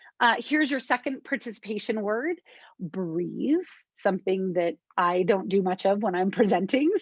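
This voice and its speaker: A woman speaks at a moderate pace and medium pitch with lively intonation, in an unremarkable speaking voice. The sound is dry and close, with no echo. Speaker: conference presenter. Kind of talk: academic, professional. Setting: presentation, lecture.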